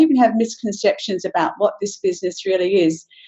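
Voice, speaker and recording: Using lively intonation, a woman talks at a fairly quick pace. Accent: Australian. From Western Australia. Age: 60s. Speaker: business presenter. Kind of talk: webinar presentation.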